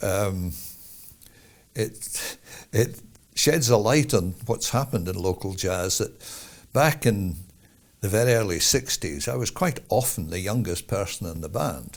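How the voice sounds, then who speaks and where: With a fairly low pitch and a somewhat breathy quality, a man swings very widely in pitch at a fairly slow pace. He leaves long, frequent pauses, and the recording is very clean with a silent background. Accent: Edinburgh. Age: 70s. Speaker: jazz musician. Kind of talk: interview.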